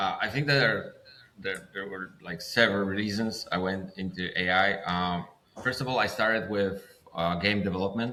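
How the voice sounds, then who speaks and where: A man talks with a Polish accent at a fairly low pitch. His pace is moderate, and noticeable background noise can be heard. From Poland. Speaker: filmmaker. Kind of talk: interview. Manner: halting.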